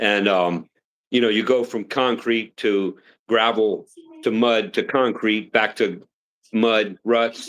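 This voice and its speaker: Delivered at a fairly slow pace, the speech has a normal speaking voice and ordinary pitch variation. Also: man. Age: 60s. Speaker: retired military officer. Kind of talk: casual live stream chat.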